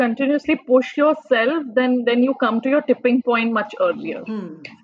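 Over noticeable background noise, a high-pitched woman talks at a moderate pace with ordinary pitch variation and hardly any pauses. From India, Delhi. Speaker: blogger and engineer. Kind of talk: interview. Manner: hesitant, many fillers.

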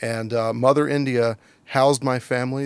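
This is a man with an ordinary speaking voice and an American accent. His pitch sits in the middle range, and his intonation stays fairly even. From Virginia, US. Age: 50s. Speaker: former diplomat and business council president. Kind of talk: interview.

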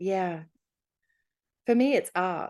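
A woman's medium-pitched, dark, mellow voice in an Australian accent, at a moderate pace against a quiet background. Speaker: life coach. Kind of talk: interview.

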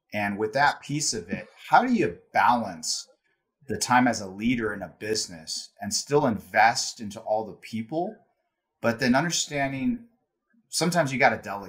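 A normal speaking voice at a moderate pace carries lively intonation and big swings in loudness. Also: man, medium pitch for a man. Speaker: podcast host. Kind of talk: interview conversation.

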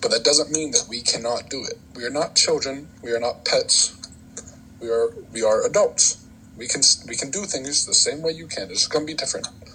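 A man's fairly quick delivery over noticeable background noise. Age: 20s. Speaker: podcast guest. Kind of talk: casual chat.

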